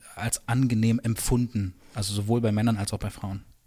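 In a very clean recording with a silent background, a man with a medium-pitched, somewhat breathy voice speaks at a moderate pace in a flat monotone. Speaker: podcast host. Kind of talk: podcast best-of narration with interview clips.

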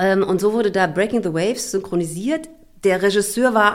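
A woman's medium-pitched voice carries through noticeable background noise. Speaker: voice actress and announcer. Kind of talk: interview clip.

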